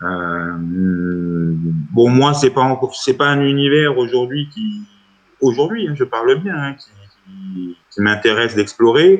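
The pitch swings very widely and the delivery is very slow. Music plays in the background. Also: man, medium pitch for a man. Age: 40s. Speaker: bass student, adult learner. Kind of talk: testimony interview. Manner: halting, many fillers.

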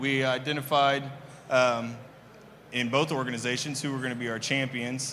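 With audible room echo around him, a man talks in a monotone, flat intonation. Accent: American. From US Midwest (Kansas City). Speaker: trade show presenter. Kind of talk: conference presentation. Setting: stage with audience. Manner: hesitant, many fillers.

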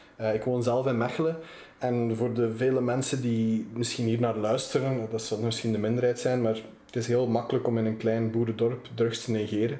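A man talks at a fairly quick pace in a medium pitch with monotone, flat intonation. Audible room echo and noticeable background noise fill the recording. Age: 20s. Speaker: magazine editor-in-chief. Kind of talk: interview.

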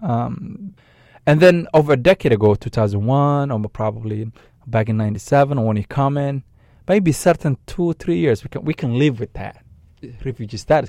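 At a moderate pace and with lively intonation, the speaker talks with a Somali accent on a very clean recording with a silent background. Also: man, medium pitch for a man. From Somalia. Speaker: nonprofit director. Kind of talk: radio interview. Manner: halting, many fillers and repetitions.

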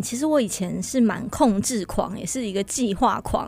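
The woman keeps a moderate tempo, her pitch rising and falling in an ordinary way. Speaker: church administrator and event emcee. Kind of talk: radio interview.

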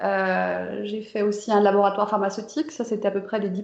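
A woman at medium pitch, with fairly even intonation and a fairly quick pace. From France, Saint-Étienne near Lyon. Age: 40s. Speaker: software developer. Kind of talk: interview. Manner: casual, hesitant with fillers.

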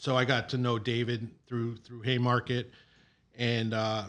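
A man with an American accent speaks at a moderate pace and medium pitch. He has an unremarkable speaking voice. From New York, Long Island. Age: 40s. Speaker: brewing operations director. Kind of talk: casual interview.

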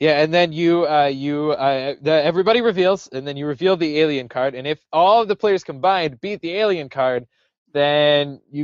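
At a moderate pace, a man talks with ordinary pitch variation in an ordinary speaking voice. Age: young. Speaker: podcast co-host. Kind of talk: casual chat.

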